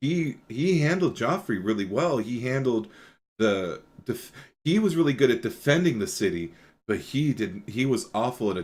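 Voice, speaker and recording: A man speaks loudly at a moderate pace, his pitch sitting in the medium range. His pitch swings very widely. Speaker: podcast host. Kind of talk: casual chat.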